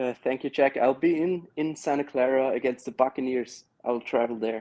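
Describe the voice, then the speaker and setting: This man speaks with an Austrian accent in a dark, mellow tone at medium pitch. His pace is moderate and his pitch variation ordinary. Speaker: caller, TV broadcast worker. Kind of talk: phone-in call.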